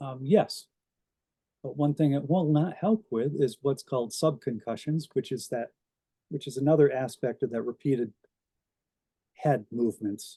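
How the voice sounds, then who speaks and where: A somewhat breathy male voice at a moderate pace with long, frequent pauses and ordinary pitch variation, in a dry, close sound with no echo. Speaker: brain injury survivor sharing experience. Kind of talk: talk to a club audience. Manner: slurred, halting speech.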